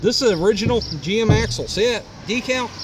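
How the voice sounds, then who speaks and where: The speech is loud, at a moderate pace. Noticeable background noise is present. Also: man. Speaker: auto repair video maker. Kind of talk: casual show-and-tell tutorial.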